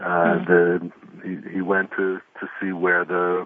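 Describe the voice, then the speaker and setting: A man's very deep, low voice in an American accent, monotone and flat. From New York. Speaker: former mayor and author. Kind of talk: radio interview. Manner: halting, many repeated words.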